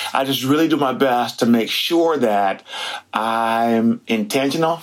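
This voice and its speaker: A man talks with very wide swings in pitch while noticeable noise fills the background. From Detroit, US Midwest; raised in Seattle area. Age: 60s. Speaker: museum curator and storyteller. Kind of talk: interview.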